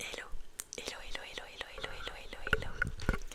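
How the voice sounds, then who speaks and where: A whispered voice in a relaxed tone is heard against noticeable background noise. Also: woman. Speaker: ASMR content creator. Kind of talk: casual talk to camera, whispered chat. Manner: whispered, soft-spoken, relaxed.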